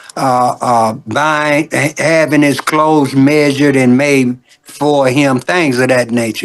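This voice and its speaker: A man speaks in a Southern US accent at a fairly slow pace. His pitch is fairly high and his intonation fairly even. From US South, Birmingham, Alabama. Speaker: gospel singer. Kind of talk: interview. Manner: halting, repeats words.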